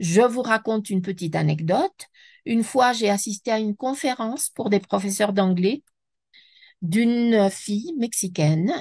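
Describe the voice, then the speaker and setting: A woman speaks at a moderate pace with lively intonation and a somewhat breathy voice. The background is quiet. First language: Spanish (speaking French). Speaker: French teacher trainer, speaker. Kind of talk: webinar lecture. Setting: online webinar. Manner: halting, with self-corrections.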